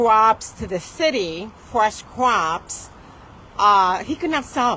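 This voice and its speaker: A woman speaks at a very slow pace with lively intonation and a fairly high pitch. The background is quiet. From Puerto Rico, then Connecticut from age ten. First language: Spanish. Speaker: attorney. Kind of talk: speech to an audience.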